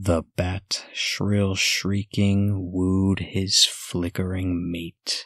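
Against a quiet background and with a dry sound free of echo, a soft-spoken man talks very slowly in a very deep, low, monotone voice, hardly pausing at all. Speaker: ASMR narrator. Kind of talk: ASMR poetry reading, spooky Halloween poems. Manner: soft, slow, hushed. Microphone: studio mic.

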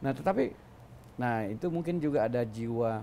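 A man's medium-pitched, dark, mellow voice with ordinary pitch variation over light background noise. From South Sulawesi, Bone regency (Bugis); South Sulawesi. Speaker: senior government official; interviewee. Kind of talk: interview. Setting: office with open windows. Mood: relaxed, reminiscing. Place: studio. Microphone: lapel.

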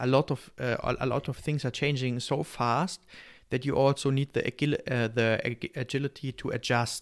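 The speaker has a German accent and fairly even intonation. The background stays quiet. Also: man. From Germany. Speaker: podcast host or guest. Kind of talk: casual interview. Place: home room. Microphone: studio mic.

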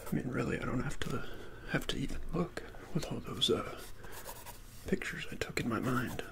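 A man is whispering. He goes at a fairly quick pace. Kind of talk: soft-spoken role-play talk to the viewer. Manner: soft, hushed ASMR speaking. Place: home room. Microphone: phone near.

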